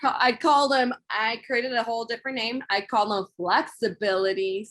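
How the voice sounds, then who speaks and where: Her Spanish accent comes through as a woman talks at a moderate pace and a fairly high pitch. Pitch variation is ordinary. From Monterey, California. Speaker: mindset coach. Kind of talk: interview.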